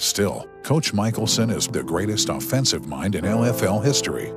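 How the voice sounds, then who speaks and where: A man's fairly low voice with very wide pitch swings at a moderate pace, dry and echo-free, with clear music in the background. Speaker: voice-over narrator. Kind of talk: sports documentary narration. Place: booth. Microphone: studio mic.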